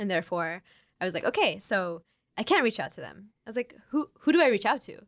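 A woman with an American accent and fairly high pitch talks at a fairly quick pace, her pitch swinging very widely and her loudness shifting a lot, in a very clean recording with a silent background. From Oklahoma. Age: 20s. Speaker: fashion activist and organizer. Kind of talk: interview.

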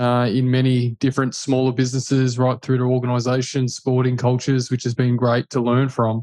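Talking at a fairly quick pace with hardly any pauses, a man with an Australian accent keeps a monotone, flat intonation, very even loudness and a dark, mellow tone. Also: medium pitch for a man. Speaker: buyer's agent, former footballer. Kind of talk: casual interview.

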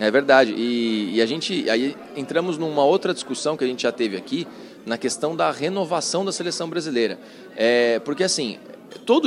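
A man with a fairly high pitch speaks with lively intonation. Noticeable background noise runs behind him. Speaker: sports journalist. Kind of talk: casual chat.

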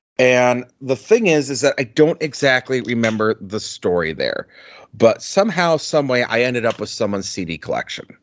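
This is a normal speaking voice from a man in a medium pitch. His intonation is lively. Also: moderate pace. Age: 40s. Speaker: podcast co-host, album reviewer. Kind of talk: casual chat.

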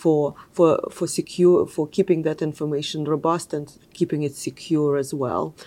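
A woman speaks with a Russian accent at a very deep, low pitch and a dark, mellow tone. Her delivery is fairly slow and monotone, the intonation flat. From Russia (Moscow). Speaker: technology executive. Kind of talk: interview.

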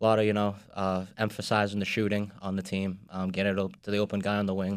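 A man with a Boston accent talks at a fairly quick pace in a fairly low pitch, on a very clean recording with a silent background. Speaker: sports industry worker. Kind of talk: casual chat. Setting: studio.

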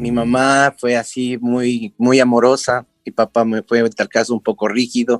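Speech comes at a moderate pace with hardly any pauses and monotone, flat intonation. The sound is dry and close, with no echo. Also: man, medium pitch for a man. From Ecuador, Quito. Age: 50s. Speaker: clown and teacher. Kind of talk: interview.

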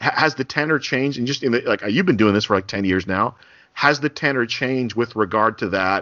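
Speaking in a normal speaking voice with an American accent, a man uses lively intonation. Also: medium pitch for a man. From New Jersey (Bergen County). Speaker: podcast host, sports journalist. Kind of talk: casual interview.

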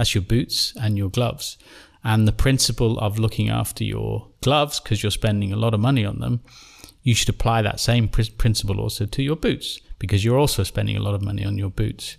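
At a fairly quick pace, this man talks with an English accent. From England. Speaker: company founder. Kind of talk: interview. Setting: in person at company headquarters.

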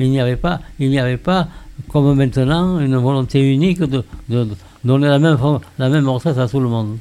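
Here a man speaks in a medium pitch with a dark, mellow tone. His pace is moderate, and his pitch variation is ordinary. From Saint-Gilles, southern France. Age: 90s. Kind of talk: casual group discussion.

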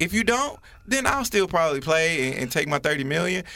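Over noticeable background noise, a raised, projected voice moves at a moderate pace with very wide pitch swings. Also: man. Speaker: co-host. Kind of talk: casual banter.

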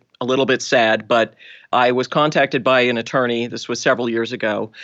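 An American accent comes through against a quiet background. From Boston, US. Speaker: forensic genealogist.

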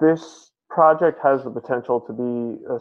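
A man at a medium pitch, with an American accent and fairly even intonation. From San Francisco, California. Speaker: college student. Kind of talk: interview. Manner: hesitant, many fillers.

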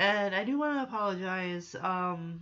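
The intonation is lively and the tone fairly bright. The pace is fairly slow. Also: woman, medium pitch for a woman.

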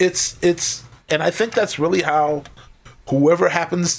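A man speaks at a fairly slow pace with an American accent. His is an unremarkable speaking voice, with ordinary pitch variation. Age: 50s. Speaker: professional drummer. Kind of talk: casual interview chat.

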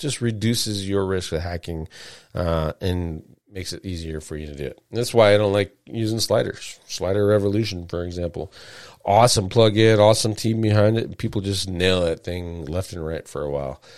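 A man with a very deep, low pitch speaks at a moderate pace, his pitch varying in an ordinary way. His loudness swings widely. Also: very clean recording, silent background. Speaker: SEO show host. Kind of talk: solo live show monologue. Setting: live stream.

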